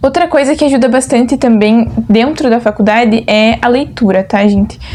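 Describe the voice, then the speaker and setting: There is noticeable background noise behind a woman speaking in a high pitch. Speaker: agronomy student vlogger. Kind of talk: casual vlog chat.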